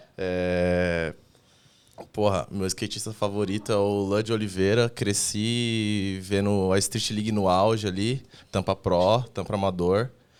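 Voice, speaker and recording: Very slowly and in a monotone, flat way, a man talks in a fairly low pitch. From Brazil, São Paulo. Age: 20s. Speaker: skateboarder, association member. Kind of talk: casual podcast interview.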